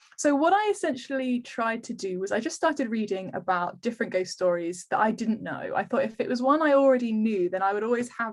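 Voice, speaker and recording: Talking very fast with lively intonation, a woman with an English accent has a fairly high pitch. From England, Kent (Canterbury). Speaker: historical romance author. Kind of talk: interview. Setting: video call. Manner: many filler ums.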